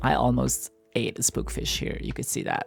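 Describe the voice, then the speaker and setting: Soft-spoken and relaxed in tone, this voice moves at a fairly slow pace with music playing in the background. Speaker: gaming content creator. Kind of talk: soft spoken gameplay commentary. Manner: soft-spoken, relaxed.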